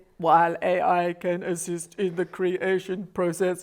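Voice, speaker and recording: Someone performs a put-on character voice at a middle pitch. The pace is moderate. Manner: smooth, formal, helpful.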